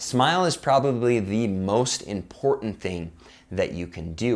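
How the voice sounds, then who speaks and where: Here is a man with a plain, everyday voice at medium pitch. His intonation is lively. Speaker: youtuber giving sales and persuasion tips. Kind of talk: tutorial. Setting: talking to camera. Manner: upbeat, smiling.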